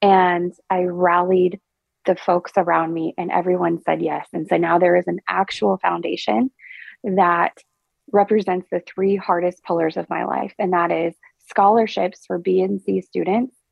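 A woman speaks at a moderate pace with an American accent, her pitch fairly low and her intonation fairly even. Music plays in the background. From Oklahoma. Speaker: agricultural communications professional. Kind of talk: interview, personal testimony.

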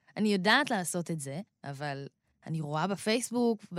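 Lively intonation marks a woman talking at a moderate pace in a plain, everyday voice. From Israel, Rehovot. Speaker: rapper. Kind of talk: interview.

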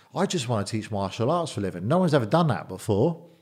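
In an English accent, a man speaks at medium pitch with lively intonation. The recording is very clean, with a silent background. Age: 40s. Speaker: bodyguard and businessman. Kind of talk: interview. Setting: studio.

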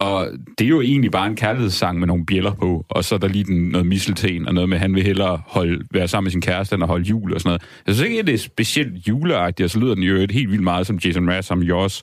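This man's voice sits very deep and low, with ordinary pitch variation. He talks very fast at a very even loudness. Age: 30s. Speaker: music critic and writer. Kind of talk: casual chat.

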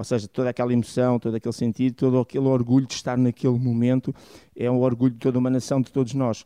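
Talking very fast in a flat monotone, a man with a medium pitch and a dark, mellow tone sounds dry and close with no echo over a quiet background. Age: 50s. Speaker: refereeing analyst. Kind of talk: radio panel discussion.

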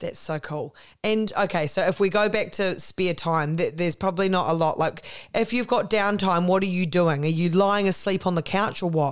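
A woman's medium-pitched voice with a New Zealand accent, ordinary pitch variation and a moderate pace. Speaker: podcast host. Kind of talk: interview. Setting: remote call.

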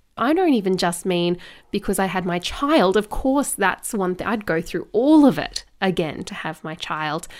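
In a very clean recording with a silent background, a woman speaks at a moderate pace in a normal speaking voice. Her pitch is medium and her intonation lively. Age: 30s. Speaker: podcast host, mum and former beauty pageant contestant. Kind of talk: casual solo monologue. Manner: laughs often.

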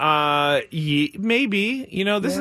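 Noticeable background noise behind a male voice pitched fairly high. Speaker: radio host. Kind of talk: game show host. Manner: brisk, upbeat, explaining rules.

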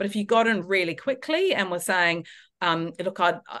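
Quickly and with lively intonation, a woman speaks at a very fast pace in a bright, sharp tone. The background is quiet. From New Zealand. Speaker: travel writer and editor. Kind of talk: casual interview chat. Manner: halting, many fillers and restarts.

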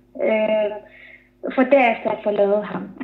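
A woman with fairly high pitch and ordinary pitch variation is heard with audible room echo. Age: 30s. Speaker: author. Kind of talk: interview. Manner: halting.

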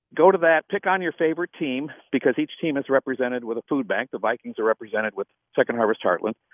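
Talking at a very fast pace, a man with an American accent uses lively intonation and a fairly high pitch. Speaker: nonprofit founder and CEO. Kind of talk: radio interview. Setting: phone call.

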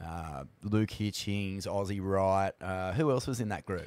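Over a silent background on a very clean recording, a man with an Australian accent speaks at a fairly low pitch. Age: 40s. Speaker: podcast host. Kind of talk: casual interview.

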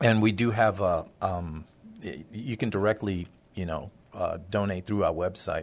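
Over a quiet background, a man with an American accent talks at a fairly slow pace, his pitch fairly low and his intonation fairly even. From Honduras, then Brooklyn, New York. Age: 60s. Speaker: charity marketing director. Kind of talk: casual interview chat. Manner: halting, many fillers.

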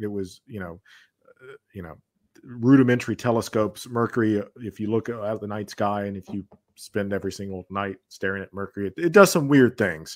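A man with an unremarkable speaking voice and an American accent talks at a fairly quick pace, his pitch fairly low with ordinary variation and big swings in loudness. The sound is dry and close, with no echo. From US South, Georgia. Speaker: philosophy and history educator. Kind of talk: casual chat. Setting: video call.

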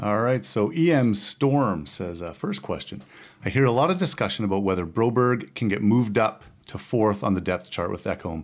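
A man with an ordinary speaking voice talks at a moderate pace, with fairly low pitch and lively intonation. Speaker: technical director and question reader. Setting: remote, out of town.

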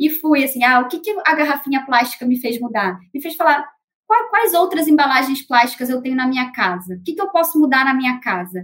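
Her voice is high-pitched, and this woman talks at a fairly quick pace with lively intonation. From Rio de Janeiro, Brazil. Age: 30s. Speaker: market researcher. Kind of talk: panel discussion.

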